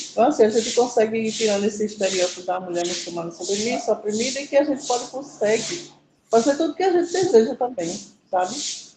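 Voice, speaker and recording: A woman races along at a very fast pace. Her fairly high voice swings very widely in pitch. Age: 50s. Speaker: muralist artist. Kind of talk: class discussion testimony.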